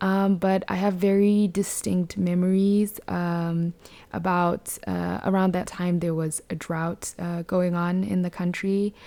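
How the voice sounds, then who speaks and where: Speaking very slowly with a Botswana accent, a woman uses a fairly low pitch and a dark, mellow tone. Her intonation stays monotone and flat. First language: Setswana. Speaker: podcast host. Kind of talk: casual podcast monologue. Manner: hesitant, many fillers.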